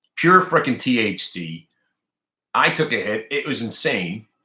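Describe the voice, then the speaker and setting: A man's animated tone, bright and sharp, with vocal fry. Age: 50s. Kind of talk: casual chat.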